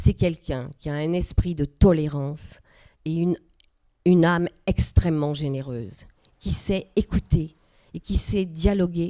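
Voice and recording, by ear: A woman talks at a fairly slow pace in a fairly low, dark, mellow voice. Her pitch varies in an ordinary way.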